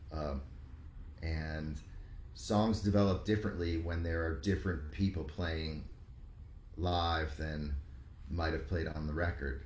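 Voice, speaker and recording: A man with an American accent speaks at a very deep, low pitch, somewhat breathy, with fairly even intonation. His pace is fairly slow with long, frequent pauses, and the room echo is audible. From New York, Rockland County suburbs. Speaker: musician. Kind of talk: casual chat.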